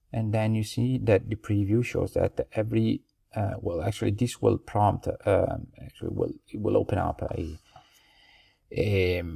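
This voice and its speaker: The recording is very clean, and the background is silent. The delivery comes at a fairly slow pace. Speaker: hotel marketing consultant. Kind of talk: tutorial. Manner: halting, many fillers.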